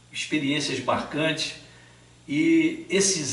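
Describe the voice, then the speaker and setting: Very slow speech from a man, noticeable background noise and audible room echo around it. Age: 60s. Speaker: Sunday school teacher. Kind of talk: channel introduction talk.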